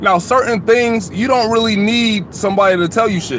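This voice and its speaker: With an American accent, a man speaks at a moderate pace over noticeable background noise. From Atlanta, US South. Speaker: YouTuber. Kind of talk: live stream chat. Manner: casual.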